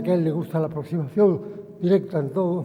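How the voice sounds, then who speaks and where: A high-pitched male voice is heard with noticeable background noise behind it. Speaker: chairman of a museum board. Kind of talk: formal introductory speech. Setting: lectern at public forum.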